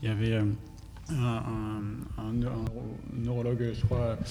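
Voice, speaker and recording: A man speaks at a medium pitch in a dark, mellow, somewhat breathy tone. His intonation is monotone and flat. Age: 20s. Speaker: environmental professional, debate participant. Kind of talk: panel debate.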